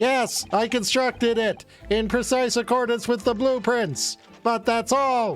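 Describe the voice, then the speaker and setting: Someone speaks in a put-on character voice with a fairly high pitch, at a fairly slow pace, with faint music in the background. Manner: defensive, protesting.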